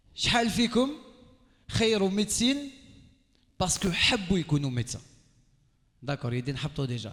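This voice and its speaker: Animated in tone, a man with a high voice swings his pitch very widely. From Algeria. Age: 30s. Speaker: radio and TV host, motivational speaker. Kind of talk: motivational talk to a live audience. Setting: stage with audience.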